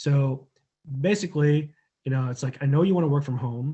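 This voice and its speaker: A man speaks in a somewhat breathy voice. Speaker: online marketing coach. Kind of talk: tutorial. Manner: casual, many filler words.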